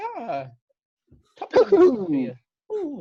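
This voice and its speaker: A high-pitched, put-on character voice is delivered in an Irish accent. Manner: cheeky, comic.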